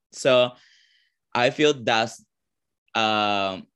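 Over a quiet background, a man with a Venezuelan accent talks in a bright, sharp tone with ordinary pitch variation. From Venezuela, Caracas. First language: Spanish. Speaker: drag performer. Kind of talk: interview.

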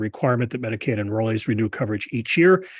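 A man with an American accent talks at a very fast pace, his medium-pitched voice somewhat breathy. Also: quiet background. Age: 60s. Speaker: podcast host and policy fellow. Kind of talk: interview.

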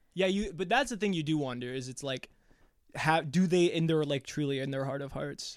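In a very clean recording with a silent background, a man with a plain, everyday voice talks fairly quickly at a fairly high pitch with ordinary pitch variation. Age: 20s. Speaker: podcast co-host. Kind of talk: casual chat.

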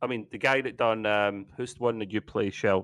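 A man talks in a normal speaking voice at a medium pitch. His pitch varies in an ordinary way. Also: quiet background. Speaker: gamer. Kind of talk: casual chat.

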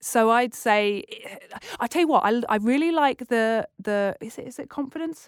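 With a British accent, a woman talks at a fairly quick pace, her intonation lively and pitch fairly high. The recording is very clean with a silent background and a dry, close sound with no echo. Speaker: TEDx curator and presenter. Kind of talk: casual interview chat. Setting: studio. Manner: fast talker.

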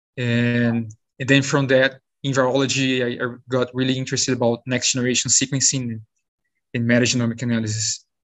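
A man with a Brazilian accent talks at a fairly quick pace and medium pitch, monotone and flat, with long, frequent pauses. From Brazil, São Paulo state. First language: Portuguese. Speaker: postdoctoral virologist. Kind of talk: interview. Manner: halting.

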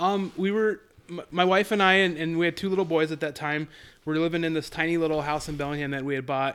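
In a very clean recording with a silent background, a man with an American accent talks at a very fast pace, fairly high in pitch, with fairly even intonation. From Colorado. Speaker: real estate agent and investor. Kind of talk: casual interview. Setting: home recording.

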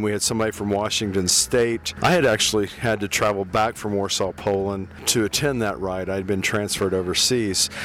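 Against noticeable background noise, a man speaks at a moderate pace with a fairly low pitch and ordinary pitch variation. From Kentucky. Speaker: recreational cyclist. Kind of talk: casual interview reflection.

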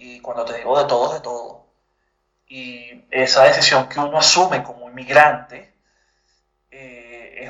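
The voice belongs to a man. His delivery keeps a fairly level tone. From Venezuela. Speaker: journalist and writer, migrant. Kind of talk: interview. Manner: halting, frequent repetitions.

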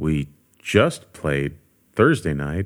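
Lively intonation marks a man speaking with an American accent. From US West Coast, Los Angeles area. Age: 50s. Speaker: bass player and session musician. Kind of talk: casual interview chat.

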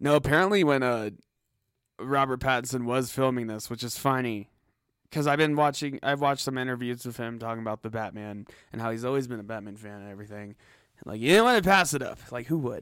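The speech comes at a very fast pace with big swings in loudness. The recording is very clean, with a silent background. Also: man, medium pitch for a man, ordinary pitch variation. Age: young. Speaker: podcast co-host. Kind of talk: casual chat.

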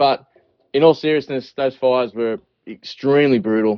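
In an Australian accent, a man speaks at a fairly quick pace with ordinary pitch variation. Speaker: fly tying business owner and podcast host. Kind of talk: casual chat, joking, profane. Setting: phone call.

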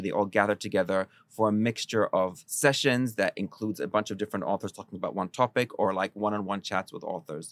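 At a very fast pace, a man talks in a fairly low pitch, the sound dry and close with no echo on a very clean recording with a silent background. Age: 40s. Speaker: culture columnist. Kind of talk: casual chat.

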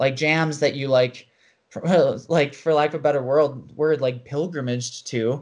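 In a normal speaking voice, a man with an American accent talks at a moderate pace, fairly high in pitch with fairly even intonation, over a quiet background. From US Midwest, rural Wisconsin. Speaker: parkour coach. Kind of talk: casual chat.

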